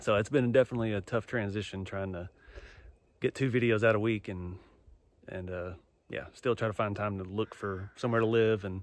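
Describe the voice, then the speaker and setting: The sound is dry with no echo. A man speaks in a fairly low pitch with fairly even intonation. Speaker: vlogger. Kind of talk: casual vlog chat. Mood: relaxed, reflective. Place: forest. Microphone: phone near.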